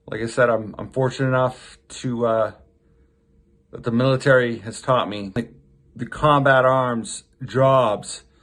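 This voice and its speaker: Speaking with an American accent, a man keeps a medium pitch and fairly even intonation at a fairly slow pace, with long, frequent pauses. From Maine, US. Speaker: military reservist vlogger. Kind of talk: casual vlog monologue. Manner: halting, with fillers.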